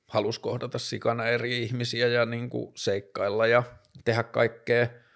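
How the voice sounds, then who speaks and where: A man speaks at medium pitch and a fairly slow pace. The background is quiet. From northern Finland, Tornio; northern Finland. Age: 30s. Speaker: vlogger, talk show host. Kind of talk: solo monologue vlog; casual personal talk. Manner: halting, many fillers. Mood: reflective, personal. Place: home room. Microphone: studio mic.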